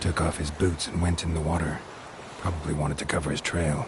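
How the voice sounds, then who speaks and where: A man uses a put-on character voice pitched very deep and low, speaking at a very fast pace. Loud background noise fills the clip. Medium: short film. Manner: deadpan, laconic.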